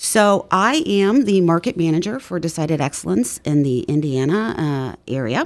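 A woman at a fairly low pitch and moderate pace, enthusiastic in tone, with very wide pitch swings and hardly any pauses. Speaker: magazine publisher. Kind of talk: interview. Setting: studio.

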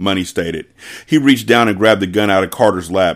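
Reading aloud in a natural voice, nothing more.

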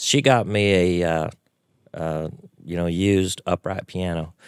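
A man with a very deep, low pitch and a Texan accent, ordinary pitch variation, on a very clean recording with a silent background. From Texas (Waco). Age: 50s. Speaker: piano player. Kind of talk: casual interview chat. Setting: studio.

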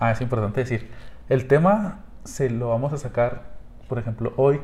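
At a moderate pace, a man talks in a dark, mellow, somewhat breathy tone at medium pitch. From Mexico. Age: 20s. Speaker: podcast host. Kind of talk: casual chat.

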